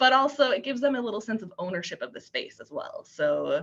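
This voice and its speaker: This woman talks at a fairly quick pace in a fairly high, bright, sharp voice with vocal fry. Her tone is animated, with very wide pitch swings. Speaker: youth services librarian. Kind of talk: webinar presentation. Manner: fast.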